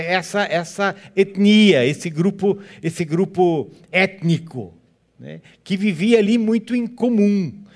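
At a very slow pace, a high-pitched man speaks with a German accent and ordinary pitch variation. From southern Brazil, Joinville, Santa Catarina (German-descended community). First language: German (speaking Portuguese). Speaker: guest pastor. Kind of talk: sermon. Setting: church.

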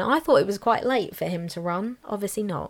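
A woman talks at a fairly quick pace with a southern English accent. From southern England, near Brighton. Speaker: podcast co-host. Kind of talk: casual chat. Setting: in person, together.

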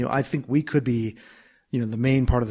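A man with an American accent talks with a monotone, flat intonation. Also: very clean recording, silent background. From US Midwest, Minnesota. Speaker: start-up co-founder and finance executive. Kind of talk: interview. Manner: halting, many fillers and restarts.

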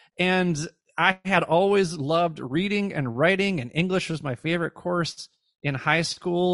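A man with an ordinary speaking voice talks at a moderate pace with ordinary pitch variation. The sound is dry and close with no echo, against a quiet background. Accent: American. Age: 40s. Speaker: former educator and podcast host. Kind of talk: interview.

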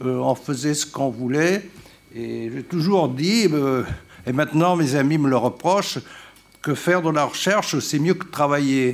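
A man with a fairly high voice talks at a fairly slow pace with ordinary pitch variation over noticeable background noise. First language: Italian (speaking French). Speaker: retired political science professor. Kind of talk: conference talk.

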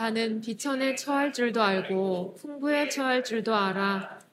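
A woman at a fairly high pitch, very slow pace and fairly even intonation. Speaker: scripture reader. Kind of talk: reading aloud.

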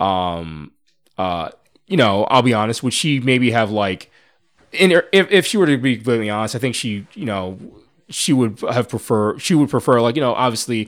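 A man's medium-pitched, ordinary speaking voice, with lively intonation at a moderate pace, on a very clean recording with a silent background. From US Northeast, suburban Philadelphia. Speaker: podcast guest. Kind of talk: casual chat.

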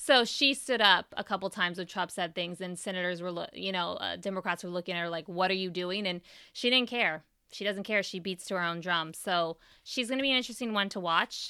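In a Californian accent, the speaker talks at a fairly quick pace with an animated, bright, sharp tone and ordinary pitch variation, on a very clean recording with a silent background. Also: woman, medium pitch for a woman. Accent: General American (Californian). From US West Coast, San Francisco Bay Area. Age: 30s. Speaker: political podcast host. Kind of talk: solo commentary podcast.

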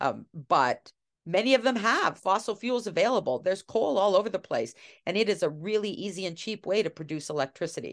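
A woman has an ordinary speaking voice at a medium pitch, talking at a fairly quick pace with lively intonation. The background is quiet. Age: 60s. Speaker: political science professor. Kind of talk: interview.

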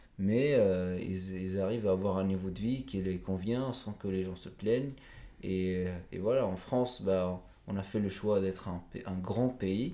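A man speaks at a fairly slow pace with very deep, low pitch and fairly even intonation. Room echo is audible. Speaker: author. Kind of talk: interview. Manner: halting.

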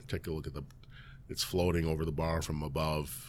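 A man talks at a very fast pace in a Chicago accent. His pitch is very deep and low. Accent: Chicago-area American. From US Midwest, Elgin, Illinois. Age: 50s. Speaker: restaurant owner. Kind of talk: casual interview.

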